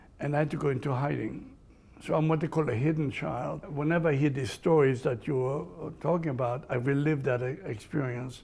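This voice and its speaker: With audible room echo, a man speaks in a fairly high register with vocal fry and fairly even intonation. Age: 80s+. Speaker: Holocaust survivor. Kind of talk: interview. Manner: halting.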